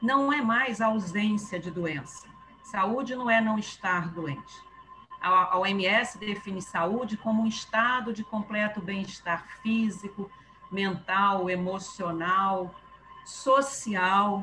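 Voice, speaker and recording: Over noticeable background noise, a woman at medium pitch with ordinary pitch variation talks at a very slow pace. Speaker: spiritist group presenter. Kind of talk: casual chat. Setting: video call.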